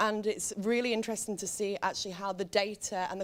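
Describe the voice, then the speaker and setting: A woman talks at a very fast pace, her intonation staying fairly even. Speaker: panelist. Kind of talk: panel discussion. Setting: stage with audience.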